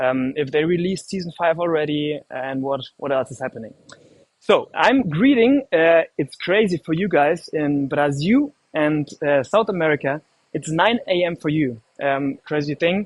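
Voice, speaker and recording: A man with a German accent speaks at a moderate pace, at a fairly high pitch with ordinary pitch variation. The sound is dry and close, with no echo. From Germany. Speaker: livestream host. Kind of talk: live stream hosting. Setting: indoor room in Istanbul. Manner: halting, many fillers.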